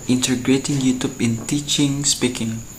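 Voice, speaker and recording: With an Indonesian accent, a man speaks at a fairly slow pace in a medium pitch with monotone, flat intonation amid noticeable background noise. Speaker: university student. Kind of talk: student video presentation. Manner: halting.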